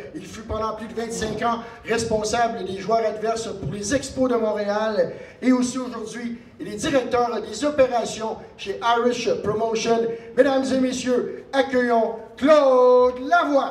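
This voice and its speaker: A man speaks at an extremely high pitch and a very slow pace, his intonation fairly even. The room echo is audible, with noticeable background noise. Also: big swings in loudness. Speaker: event host. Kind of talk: formal announcement. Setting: event hall with audience.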